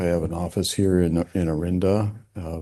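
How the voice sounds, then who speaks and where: A soft-spoken man talks with a very deep, low pitch and a dark, mellow tone. His intonation is fairly even, and the background is quiet. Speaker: landscape architect, public commenter. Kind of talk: public comment at meeting. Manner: soft-spoken, hard to hear; hesitant, many fillers.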